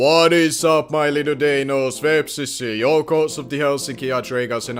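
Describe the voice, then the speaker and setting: A man is speaking with music in the background. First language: not English. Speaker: gaming YouTuber. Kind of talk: game commentary. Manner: hesitant fillers.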